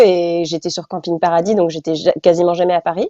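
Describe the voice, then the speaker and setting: A woman at a fairly quick pace. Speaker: actress and voice dubber. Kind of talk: interview. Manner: halting.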